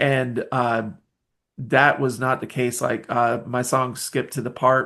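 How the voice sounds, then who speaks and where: Very slowly, a man speaks in a bright, sharp tone with flat, monotone intonation. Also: medium pitch for a man. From US South, Nashville, Tennessee. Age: 40s. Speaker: independent musician. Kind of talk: podcast interview. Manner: halting, many fillers.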